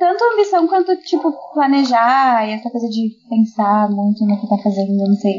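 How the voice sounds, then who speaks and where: With a slight southern Brazilian accent, a woman speaks at a fairly high pitch with very wide pitch swings. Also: moderate pace. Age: 20s. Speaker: podcast guest, international relations graduate. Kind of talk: casual chat.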